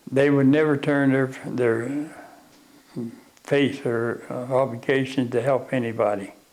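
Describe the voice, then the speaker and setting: A man at medium pitch, fairly slow and monotone with flat intonation, amid noticeable background noise. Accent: West Virginia. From Arthurdale, West Virginia. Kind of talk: oral history interview answer.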